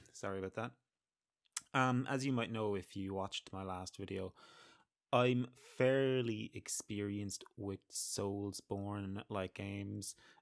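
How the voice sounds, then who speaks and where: Against a quiet background, a man with a fairly low pitch speaks fairly slowly in an Irish accent with fairly even intonation. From Ireland. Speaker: gamer, let's player. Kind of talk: casual gameplay commentary. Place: home room. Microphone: studio mic.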